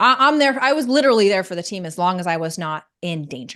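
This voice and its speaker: Animated in tone, the voice makes very wide pitch swings over a quiet background. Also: woman. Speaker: reality show contestant. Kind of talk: interview. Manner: loud.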